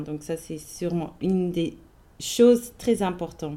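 A woman's dark, mellow voice at a very slow pace, in a Swiss German accent. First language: Swiss German (speaking French). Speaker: podcast host. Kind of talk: casual chat.

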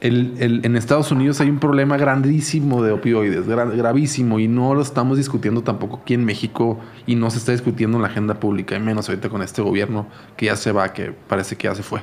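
Pitch rises and falls in an ordinary way. The delivery races along at a very fast pace. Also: man, medium pitch for a man. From Culiacán, Sinaloa, Mexico. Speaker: documentary maker. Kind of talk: casual chat.

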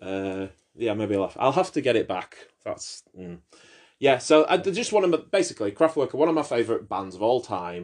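The speaker moves at a moderate pace, with very wide pitch swings and big swings in loudness. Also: man, medium pitch for a man. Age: 30s. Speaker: podcast host. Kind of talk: casual chat.

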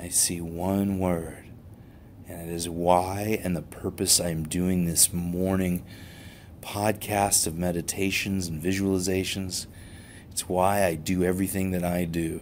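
In a very deep, low voice, a man speaks at a fairly slow pace with a soothing tone and monotone, flat intonation. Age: 50s. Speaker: chiropractor and podcast host. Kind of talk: motivational talk with guided meditation. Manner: soothing guided meditation delivery.

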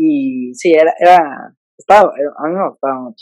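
The voice belongs to a man. It sounds dry and close, free of any echo. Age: 20s. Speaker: digital comedian. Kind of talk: casual interview chat. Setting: video call.

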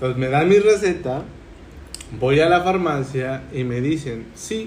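A fairly high-pitched man's voice with lively intonation, amid noticeable background noise and audible room echo. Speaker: podcast host. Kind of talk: casual chat. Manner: halting.

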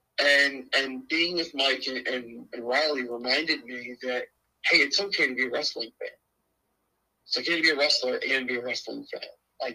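A man with an American accent speaks in a bright, sharp tone, his intonation fairly even. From rural Pennsylvania. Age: 20s. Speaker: pro wrestler and booker. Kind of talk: casual interview chat.

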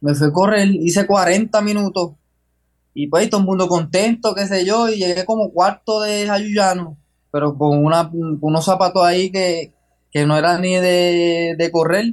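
A man talks in a high pitch. His intonation is fairly even. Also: fairly slow pace. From Puerto Rico, Jayuya. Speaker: long-distance runner. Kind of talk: interview. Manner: halting.

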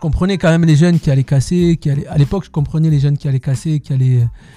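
A man talks at a very fast pace in a fairly high pitch, with a dry, close sound and no echo. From southwestern France, Tarbes. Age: 40s. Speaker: dancer. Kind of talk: interview. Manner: halting.

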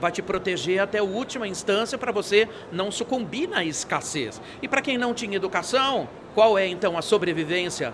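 Moderate-paced speech with lively intonation amid noticeable background noise. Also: man. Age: 60s. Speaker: futurist speaker. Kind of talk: interview. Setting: event studio. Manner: animated.

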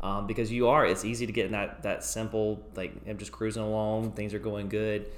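A man's fairly low-pitched voice with vocal fry at a fairly quick pace. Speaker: podcast co-host. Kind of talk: casual chat.

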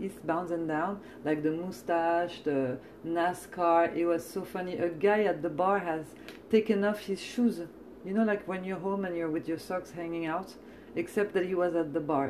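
A woman with a French accent speaks at a moderate pace, her fairly low pitch moving with ordinary variation over noticeable background noise. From France. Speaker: podcast host and comedian. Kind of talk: casual chat. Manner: animated, chatty.

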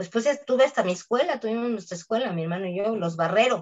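The speaker uses lively intonation and talks with a Mexican accent. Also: woman. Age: 60s. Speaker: voice actress. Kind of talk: interview.

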